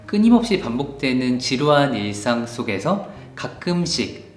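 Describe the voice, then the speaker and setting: Music plays in the background as a man talks at a fairly slow pace. His pitch is fairly high and swings very widely. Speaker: book YouTuber. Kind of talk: casual book review to camera.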